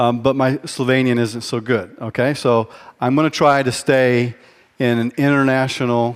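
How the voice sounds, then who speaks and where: A man speaks in a monotone, flat intonation on a very clean recording with a silent background. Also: medium pitch for a man, moderate pace. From mixed German-American, military upbringing. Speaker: leadership speaker. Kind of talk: conference keynote talk. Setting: stage with audience. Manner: hesitant with fillers.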